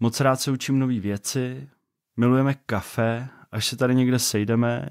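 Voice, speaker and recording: Speech unfolds at a fairly slow pace in a very clean recording with a silent background. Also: man. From Czech Republic, Vysočina region. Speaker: podcast host, father and software developer. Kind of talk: podcast introduction monologue. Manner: casual, conversational.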